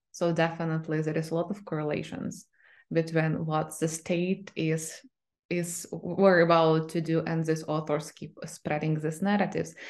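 Speech in a Ukrainian accent comes at a moderate pace with monotone, flat intonation against a quiet background. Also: woman, fairly low pitch for a woman. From Ukraine. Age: 30s. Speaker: literary scholar. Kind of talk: interview.

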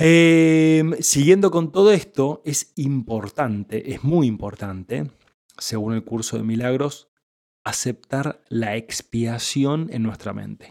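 A man with an unremarkable speaking voice talks at a fairly slow pace with lively intonation. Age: 30s. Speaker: spiritual teacher podcaster. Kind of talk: spiritual teaching monologue.

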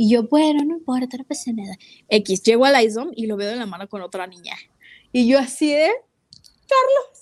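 A woman with a high voice speaks at a moderate pace in an animated tone, with big swings in loudness. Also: ordinary pitch variation. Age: 20s. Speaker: podcast co-host, music and marketing student. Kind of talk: casual chat. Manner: animated, laughing often.

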